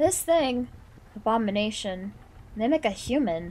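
The text is read aloud plainly. Its intonation is lively.

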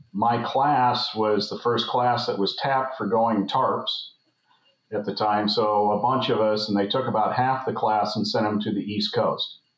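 Audible room echo surrounds a man with an American accent. His intonation is fairly even. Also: fairly slow pace, quiet background. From US West (San Francisco Bay Area). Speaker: former naval flight officer. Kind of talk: casual interview. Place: home room. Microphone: webcam.

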